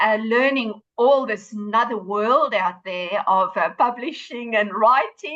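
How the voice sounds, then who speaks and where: A woman speaks in a bright, sharp tone with a South African accent, her pitch fairly high with ordinary variation. Her pace is fairly slow, with hardly any pauses. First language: Afrikaans. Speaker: author and running coach. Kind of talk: podcast interview. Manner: hesitant with fillers.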